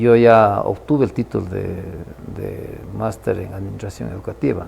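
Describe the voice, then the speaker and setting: Over noticeable background noise, a man with an Ecuadorian accent speaks at a moderate pace with big swings in loudness. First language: Kichwa (speaking Spanish). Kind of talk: interview. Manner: halting.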